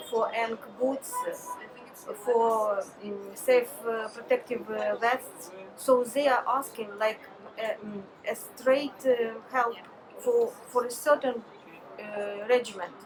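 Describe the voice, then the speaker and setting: A woman with a Ukrainian accent speaks very slowly at a fairly high pitch, with fairly even intonation. Long, frequent pauses break up her speech, and there is noticeable background noise. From Ukraine. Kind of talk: interview answer. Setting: outdoors.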